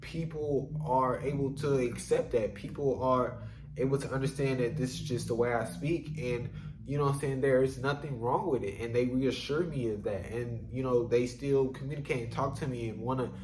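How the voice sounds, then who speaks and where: A man with a medium-pitched voice speaks at a moderate pace, with audible room echo and noticeable background noise. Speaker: solo vlogger. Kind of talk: casual monologue. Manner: rambling with frequent fillers.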